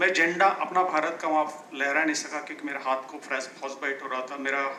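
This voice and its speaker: Through audible room echo and noticeable background noise, a man's fairly high voice comes across with fairly even intonation. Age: 60s. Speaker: mountaineer. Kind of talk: personal testimony talk. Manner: halting, with fillers and restarts.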